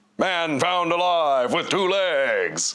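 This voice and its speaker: Putting on a character voice, a man talks at a high pitch. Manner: put-on character voice.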